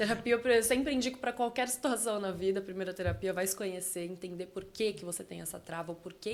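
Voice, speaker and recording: At a fairly quick pace, a woman with a normal speaking voice speaks at medium pitch, her loudness swinging widely. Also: hardly any pauses. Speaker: communication and public speaking specialist. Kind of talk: podcast interview.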